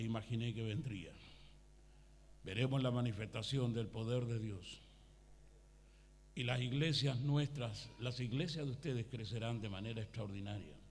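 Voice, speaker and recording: A somewhat breathy voice moves at a moderate pace with ordinary pitch variation and long, frequent pauses. There is audible room echo. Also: man. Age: 60s. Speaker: pastor. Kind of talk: sermon. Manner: animated.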